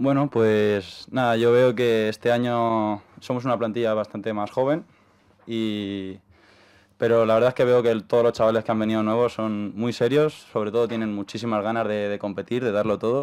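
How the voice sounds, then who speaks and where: The recording is very clean, with a silent background. A man at medium pitch speaks at a moderate pace in a monotone, flat delivery. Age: 20s. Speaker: handball player. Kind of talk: radio interview.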